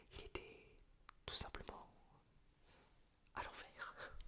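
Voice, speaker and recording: A man is whispering. His pace is very slow. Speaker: ASMR creator. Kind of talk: whispered reading of a story he wrote. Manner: whispered, soft.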